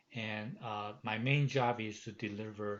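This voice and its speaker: Someone with a Chinese accent talks at a fairly slow pace with fairly even intonation. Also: man. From Taiwan. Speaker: professor. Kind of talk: course welcome message. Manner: halting, many fillers.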